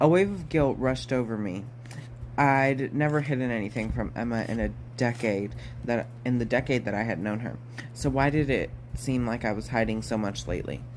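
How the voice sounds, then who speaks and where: There is audible room echo as a man at a medium pitch speaks at a fairly quick pace. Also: ordinary pitch variation. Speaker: audiobook reader. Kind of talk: reading aloud. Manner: fast; halting.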